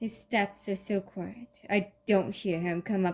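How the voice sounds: Fairly even intonation in a natural reading voice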